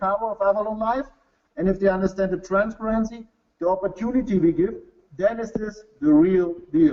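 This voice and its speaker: A man with a German accent speaks at a very fast pace. His pitch is high. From Bavaria, Germany. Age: 40s. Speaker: company executive. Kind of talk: sales pitch. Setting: webinar. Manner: halting.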